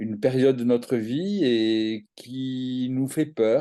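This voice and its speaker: The man speaks at a medium pitch. His delivery is very slow. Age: 60s. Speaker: activist for elderly rights. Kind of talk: interview. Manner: halting, many hesitations.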